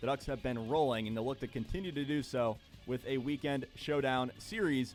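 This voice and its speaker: A fairly quick pace over music in the background. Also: man. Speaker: sports broadcaster, radio play-by-play announcer. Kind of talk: sports desk news update.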